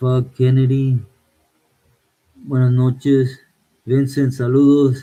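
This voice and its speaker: A man speaks at a very slow pace in a relaxed tone with a Spanish accent, his medium pitch held in a monotone, flat intonation and broken by long, frequent pauses. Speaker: livestreamer. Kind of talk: casual live chat reading viewer comments. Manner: relaxed, code-switching Spanish and English.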